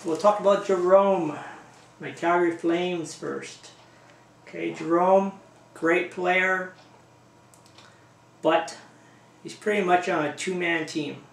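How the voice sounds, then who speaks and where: Very slowly and with long, frequent pauses, a high-pitched man speaks with big swings in loudness amid audible room echo. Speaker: hockey fan vlogger. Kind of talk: casual video blog. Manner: animated.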